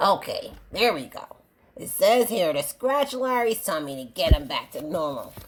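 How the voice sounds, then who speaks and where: A female-sounding voice puts on a character voice, fairly high in pitch for a woman. The pace is moderate. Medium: read story. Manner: playful, excitable.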